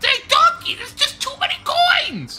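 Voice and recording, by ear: A put-on character voice at an extremely high pitch and a moderate pace.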